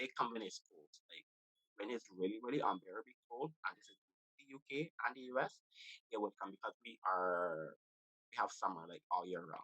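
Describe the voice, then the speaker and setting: Man with a Barbadian accent, a bright, sharp tone, lively intonation, big swings in loudness, a moderate pace, long and frequent pauses, and a dry, close sound with no echo. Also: medium pitch for a man. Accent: Barbadian (Bajan) English. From Barbados. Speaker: podcast host. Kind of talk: casual chat.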